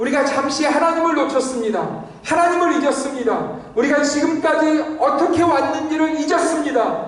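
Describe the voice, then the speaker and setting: There is audible room echo and noticeable background noise as a man with an extremely high pitch talks at a moderate pace. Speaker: pastor. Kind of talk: sermon.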